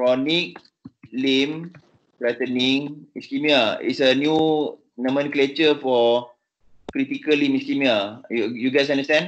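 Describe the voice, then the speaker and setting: A man with a Malaysian accent, fairly high in pitch, fairly slow in pace and fairly even in intonation. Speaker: vascular surgeon. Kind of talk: teaching session. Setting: video call. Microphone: video call.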